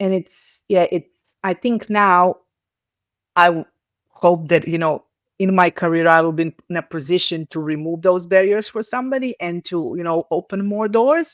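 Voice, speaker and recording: Speaking with a Serbian accent at a moderate pace, a woman has a fairly low pitch and ordinary pitch variation in a very clean recording with a silent background and a dry, close sound with no echo. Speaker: communications professional. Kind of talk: interview conversation. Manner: halting, with frequent false starts.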